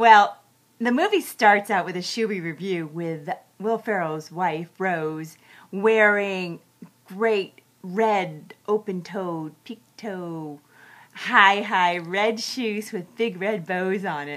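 Against a quiet background, a woman talks at a very slow pace with ordinary pitch variation. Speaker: movie reviewer. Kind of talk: casual vlog review. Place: home room. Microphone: webcam.

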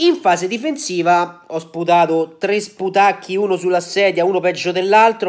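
Against a quiet background, a man talks at a moderate pace in a high pitch. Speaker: football YouTuber; football vlogger. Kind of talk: casual video commentary. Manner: animated. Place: home room. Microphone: phone near.

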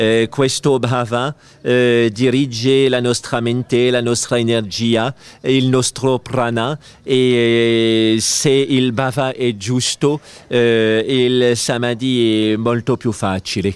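In a dry recording with no echo, a man with a French accent speaks very slowly in a flat monotone, his loudness very even. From France. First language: French (speaking Italian). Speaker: spiritual teacher; interviewed yoga teacher at congress. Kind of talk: interview. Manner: halting. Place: garden. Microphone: handheld.

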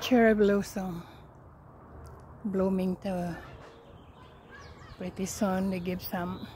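Over light background noise, a somewhat breathy woman speaks very slowly in a flat monotone, with a dry sound and no echo. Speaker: home vlogger. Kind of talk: casual vlog chat. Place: garden. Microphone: phone near.

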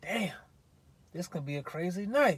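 At a moderate pace, a man talks in a high pitch, with a dry sound and no echo. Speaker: respiratory therapist vlogger. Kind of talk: casual vlog chat, storytelling. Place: car. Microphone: phone near.

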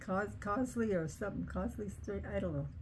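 Over noticeable background noise, a woman speaks at a moderate pace with an American accent. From Chicago, US Midwest. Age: 80s+. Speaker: elderly relative telling memories. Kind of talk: casual chat. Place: home room. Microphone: camera far.

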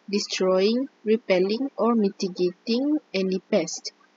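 A woman talks at a fairly slow pace with ordinary pitch variation. Noticeable background noise runs behind her. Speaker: university student. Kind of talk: class presentation.

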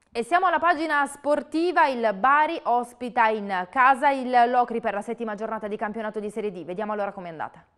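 A woman with a fairly high pitch talks at a very fast pace with hardly any pauses, lively intonation and big swings in loudness. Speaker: news anchor. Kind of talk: news reading. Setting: studio.

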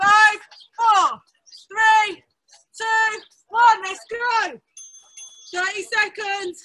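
The woman's voice is raised and projected. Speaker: fitness instructor. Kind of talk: workout class instruction and counting. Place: garden.

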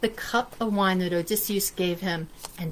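The speaker reads in an unforced reading voice.

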